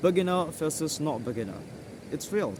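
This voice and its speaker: Speaking with an Indonesian accent, a man swings very widely in pitch amid audible room echo. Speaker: English tutor. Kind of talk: tutorial. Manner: halting.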